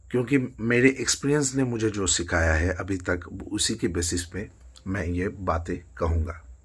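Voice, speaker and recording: A man talks at a very slow pace. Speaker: singer and music student. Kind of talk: motivational talk to camera. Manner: hesitant, with fillers.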